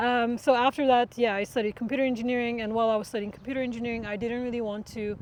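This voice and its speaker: A very fast, monotone delivery in a Turkish accent, flat in intonation, with hardly any pauses. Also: woman, fairly high pitch for a woman. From Turkey. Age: 20s. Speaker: machine learning researcher. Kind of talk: interview. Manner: hesitant with many fillers.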